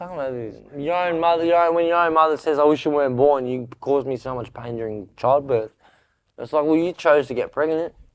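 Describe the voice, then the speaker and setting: A man's rather high voice races along very fast, its pitch moving in an ordinary way. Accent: Australian. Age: 20s. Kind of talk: interview answer. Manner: casual, candid.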